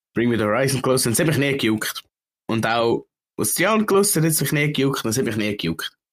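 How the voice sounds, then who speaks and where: Talking very fast with a Swiss accent, a man keeps a medium pitch and very even loudness while his pitch swings very widely. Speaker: podcast co-host. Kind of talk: casual chat.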